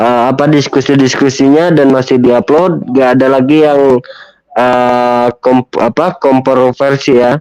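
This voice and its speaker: At a very slow pace, a man speaks in a medium pitch with fairly even intonation and very even loudness, the sound dry and close with no echo. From Malaysia, Kota Kinabalu (Sabah). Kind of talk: casual chat. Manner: halting, many fillers.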